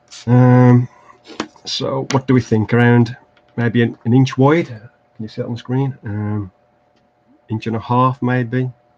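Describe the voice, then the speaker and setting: At a fairly slow pace, a man with an English Midlands accent speaks at a medium pitch in a flat monotone, with big swings in loudness and long, frequent pauses. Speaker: terrain crafting YouTuber. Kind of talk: livestream crafting tutorial. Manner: hesitant, many fillers.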